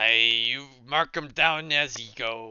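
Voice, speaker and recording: At a fairly slow pace, someone uses a put-on character voice that sounds raspy. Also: man. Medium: actual play. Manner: gruff, stern.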